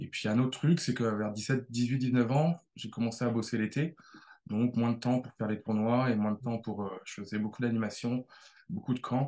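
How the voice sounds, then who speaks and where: The man's voice has a dark, mellow tone at a medium pitch. His intonation stays fairly even. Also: moderate pace. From Brittany, France. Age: 30s. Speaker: tennis coach. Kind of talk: interview. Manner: halting, many repetitions.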